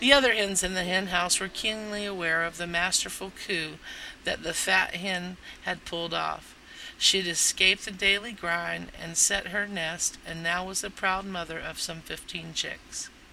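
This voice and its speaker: This speaker has an American accent, a bright, sharp tone with vocal fry, fairly even intonation, and a moderate pace. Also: woman, medium pitch for a woman. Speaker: podcast host and storyteller. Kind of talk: reading aloud a nostalgic childhood memoir, scripted narration.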